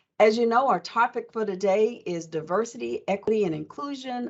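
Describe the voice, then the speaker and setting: An ordinary speaking voice from a woman with an American accent, medium pitch, ordinary pitch variation and a fairly quick pace. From Oklahoma. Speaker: panel moderator, college diversity officer. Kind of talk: panel moderation. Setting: video call.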